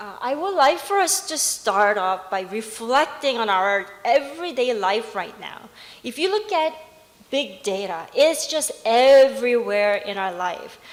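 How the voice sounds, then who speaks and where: Speaking very slowly with an English accent, a woman uses a high pitch, very wide pitch swings and big swings in loudness, amid audible room echo and noticeable background noise. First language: English (speaking Korean). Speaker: professor. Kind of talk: conference presentation. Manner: halting.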